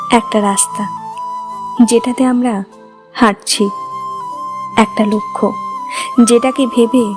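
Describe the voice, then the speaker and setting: Music plays in the background while the voice shows ordinary pitch variation. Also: woman. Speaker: poetry writer and reciter. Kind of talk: poetry reading.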